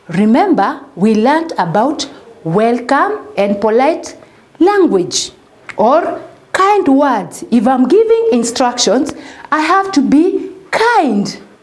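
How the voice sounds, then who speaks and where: A high-pitched woman at a very slow pace, with very wide pitch swings and very even loudness, amid noticeable background noise and audible room echo. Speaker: primary school teacher. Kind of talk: recorded lesson for young children. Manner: loud and clear, not shouting; slow, repetitive, addressing children.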